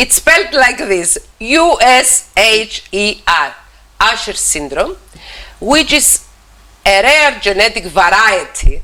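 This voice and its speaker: A woman with a Cypriot accent, fairly high in pitch, at a very slow pace with very wide pitch swings. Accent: Greek Cypriot accent in English. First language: Greek. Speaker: TV talk show host, psychologist. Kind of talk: TV interview. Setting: TV studio. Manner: halting, repeats words.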